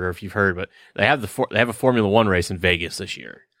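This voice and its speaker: Someone speaks at a very fast pace with ordinary pitch variation. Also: man. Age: 30s. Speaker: podcast co-host. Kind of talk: casual chat. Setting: online call. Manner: halting.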